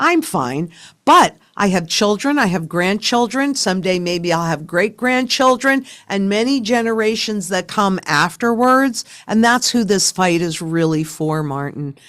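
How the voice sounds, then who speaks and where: The speech moves at a fairly slow pace with very wide swings in pitch. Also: woman, medium pitch for a woman. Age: 70s. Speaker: sound money advocate, company founder. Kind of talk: interview conversation. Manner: emphatic.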